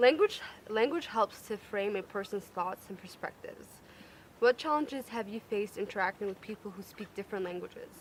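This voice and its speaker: Her loudness swings a lot as a woman talks at a fairly high pitch. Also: ordinary pitch variation, fairly quick pace. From United States, moved there from Eritrea as a child. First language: Tigrinya. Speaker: dinner party guest. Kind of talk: casual group discussion.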